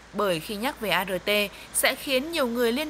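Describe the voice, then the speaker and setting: Speaking at a fairly slow pace, a woman with an unremarkable speaking voice uses lively intonation at a fairly high pitch. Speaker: news reporter. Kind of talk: scripted news voiceover. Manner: formal.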